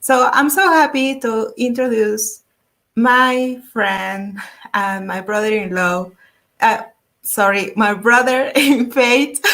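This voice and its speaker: A woman's fairly high, bright and sharp voice with a Spanish accent, at a very slow pace, with ordinary pitch variation. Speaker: YouTube art channel host. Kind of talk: interview. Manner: halting.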